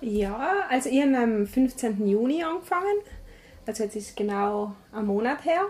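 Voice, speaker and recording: The speaker talks at a moderate pace with very wide pitch swings. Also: woman, fairly high pitch for a woman. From South Tyrol, Meran. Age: 20s. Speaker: charity staff member. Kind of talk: interview. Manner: halting.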